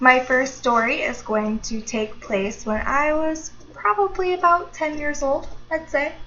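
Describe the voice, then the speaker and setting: Noticeable background noise sits behind a woman speaking at a fairly slow pace in a high voice with lively intonation. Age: 20s. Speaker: YouTuber. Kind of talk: casual talk to camera.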